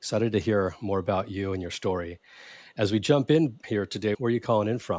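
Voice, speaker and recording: A man with a Californian accent, fairly low pitch, ordinary pitch variation and a very fast pace, on a very clean recording with a silent background. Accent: Californian American. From US, San Jose California. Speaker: podcast host. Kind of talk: podcast interview.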